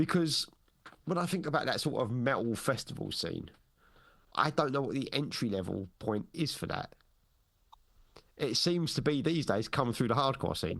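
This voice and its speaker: Speaking at a moderate pace with long, frequent pauses, a man with a fairly high pitch uses lively intonation and some vocal fry. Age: 40s. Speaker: podcast host. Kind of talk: casual chat.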